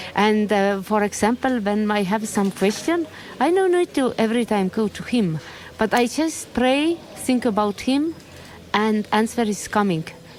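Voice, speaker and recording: Against noticeable background noise, a woman talks at a fairly high pitch and a fairly slow pace. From Estonia. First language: Estonian. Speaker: Buddhist nun. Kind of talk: interview testimony. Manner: halting.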